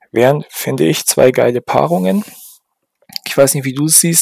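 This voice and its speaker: Moderately paced speech from a man, the sound dry and close with no echo. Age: 30s. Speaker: podcast co-host. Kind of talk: casual chat.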